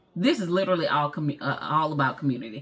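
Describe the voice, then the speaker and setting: With a Southern US accent, a woman speaks in a very deep, low voice that is bright, sharp and animated, with ordinary pitch variation. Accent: country, Southern-sounding US speech. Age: 40s. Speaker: vlogger and entrepreneur. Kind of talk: motivational talk to camera. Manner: animated, informal.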